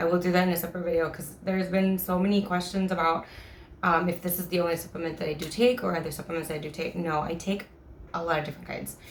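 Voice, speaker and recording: In a room with audible echo, a woman speaks very fast with fairly even intonation and a fairly low pitch. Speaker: supplement reviewer. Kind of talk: product review vlog. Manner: halting, many fillers.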